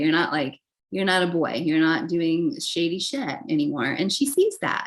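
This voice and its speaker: Speaking at a moderate pace, a woman with a medium-pitched voice lets her pitch swing very widely. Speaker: tarot reader. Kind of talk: tarot reading monologue. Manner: casual, filler-heavy.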